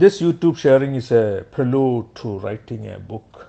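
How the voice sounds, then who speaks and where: A man speaks with a Keralan accent at a medium pitch. His intonation is lively. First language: Malayalam. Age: 60s. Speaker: motivational speaker. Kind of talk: personal narration.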